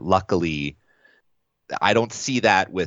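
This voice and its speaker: The voice shows vocal fry and lively intonation. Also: man. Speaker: wedding videographer. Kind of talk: casual interview.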